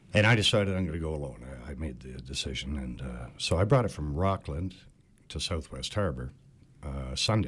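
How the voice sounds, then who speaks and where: A man with a Cape Breton accent speaks at a fairly quick pace in a very deep, low voice, with vocal fry and lively intonation. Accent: Cape Breton Canadian English. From Cape Breton Island, Nova Scotia. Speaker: boat owner. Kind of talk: casual chat.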